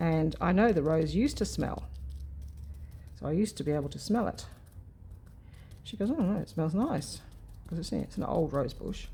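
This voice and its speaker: The speaker is soft-spoken, with a dark, mellow tone and vocal fry. The pace is fairly quick. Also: woman. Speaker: craft youtuber. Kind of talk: casual chat while crafting. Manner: soft-spoken, muttering to herself.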